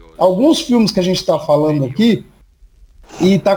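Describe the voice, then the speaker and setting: Lively intonation from a man with a high pitch and a dark, mellow tone. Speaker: horror podcast host. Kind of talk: casual chat.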